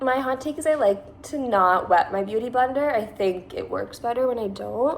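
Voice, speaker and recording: At a fairly slow pace, a woman with a Californian accent speaks in a fairly high pitch with ordinary variation. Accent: Californian, Valley girl. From Massachusetts. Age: 20s. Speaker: beauty vlogger. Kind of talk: makeup tutorial. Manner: casual, chatty.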